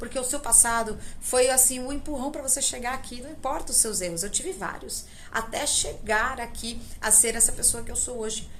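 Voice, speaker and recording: With audible room echo and noticeable background noise, a woman talks at a moderate pace in a high pitch with ordinary pitch variation. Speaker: spiritual teacher and tarot channel host. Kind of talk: spiritual talk to camera. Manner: casual, conversational.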